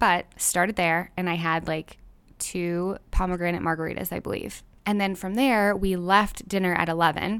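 In an American accent, a woman speaks with a fairly low pitch and fairly even intonation on a very clean recording with a silent background. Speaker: podcast host. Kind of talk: casual solo intro and interview. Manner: fast talker.

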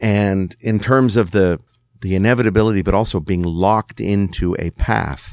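This is a plain, everyday voice, a man with fairly low pitch and ordinary pitch variation. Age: 60s. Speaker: musician. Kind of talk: casual chat.

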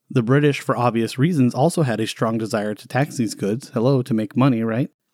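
Very clean and silent in the background, the recording is dry and close with no echo. A man with an unremarkable speaking voice talks at a moderate pace and medium pitch with ordinary pitch variation. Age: 40s. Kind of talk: casual history podcast chat.

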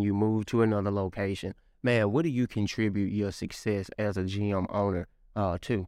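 An unremarkable speaking voice talks at a moderate pace with fairly even intonation. The background is quiet. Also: man. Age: 30s. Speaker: podcast host and entrepreneur. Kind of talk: interview.

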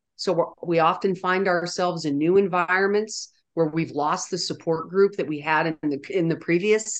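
An unremarkable speaking voice from a woman with an American accent, medium in pitch with ordinary pitch variation, at a moderate pace over a quiet background. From US, military family upbringing. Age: 60s. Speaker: nonprofit founder and CEO. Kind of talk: interview.

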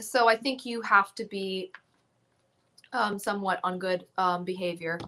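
Speaking at a fairly slow pace, a woman has a medium pitch, a bright, sharp tone and fairly even intonation. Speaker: musician. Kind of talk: casual chat. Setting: video call.

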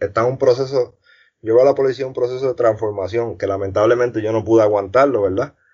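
The delivery has fairly even intonation. It is a normal speaking voice. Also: man. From Puerto Rico, north (Arecibo area). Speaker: former homicide detective. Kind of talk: interview.

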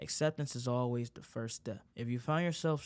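On a very clean recording with a silent background, a man with a normal speaking voice talks at a moderate pace, using medium pitch and fairly even intonation. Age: young. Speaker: solo podcaster. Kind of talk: personal monologue. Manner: casual, conversational.

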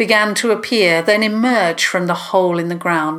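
Natural-sounding reading with normal rises and falls in pitch

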